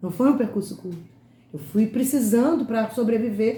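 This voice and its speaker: A woman speaks with lively intonation at a fairly high pitch, her tone dark, mellow and somewhat breathy. Audible room echo surrounds the voice. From Rio de Janeiro state, Brazil (Itaguaí, Nova Iguaçu). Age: 50s. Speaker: educator and lecturer. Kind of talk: lecture. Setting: online talk.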